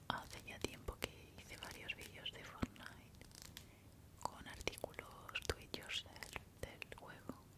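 Someone whispers at a very slow pace, with big swings in loudness. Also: woman. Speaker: ASMR creator. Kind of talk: ASMR show and tell. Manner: soft-spoken, whispering. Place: home room. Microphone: studio mic.

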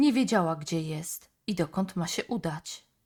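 Calm, soothing speech at a very slow pace with lively intonation, in a very clean recording with a silent background. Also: woman. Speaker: audiobook narrator. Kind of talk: bedtime story narration, fairy tale read aloud. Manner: calm, soothing, storytelling pace.

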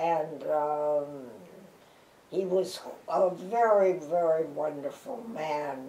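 A woman's very deep, low pitch with a dark, mellow tone, an American accent, ordinary pitch variation, a very slow pace, long, frequent pauses and audible room echo. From Chicago. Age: 80s+. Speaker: actress and dancer. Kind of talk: interview answer. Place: home room.

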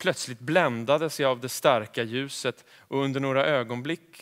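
This man speaks at a fairly slow pace, his pitch varying in an ordinary way. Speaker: actor. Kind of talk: reading aloud. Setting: stage with audience. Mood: calm, measured narration. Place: stage. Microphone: headset.

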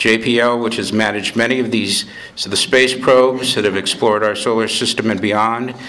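The man's intonation stays monotone and flat. He keeps a moderate pace. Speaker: event host introducing a lecture. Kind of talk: prepared introductory speech. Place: hall. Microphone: podium.

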